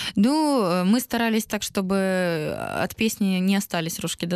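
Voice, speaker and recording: A woman in an ordinary speaking voice, medium in pitch with ordinary pitch variation, sounds dry and close with no echo against a quiet background. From Donetsk, eastern Ukraine. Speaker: singer. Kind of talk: interview.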